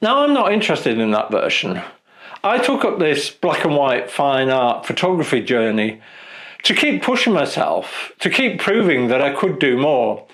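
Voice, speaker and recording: This man's voice is fairly high in pitch, with very wide pitch swings and very even loudness. He moves at a moderate pace against noticeable background noise. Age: 60s. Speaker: photographer and video creator. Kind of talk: casual vlog talk to camera. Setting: studio.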